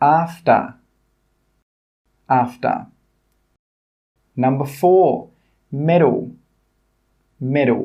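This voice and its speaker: At a very slow pace, a man speaks in a fairly high pitch. His pitch varies in an ordinary way. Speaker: English pronunciation teacher. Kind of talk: tutorial. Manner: slow, clear demonstration of words.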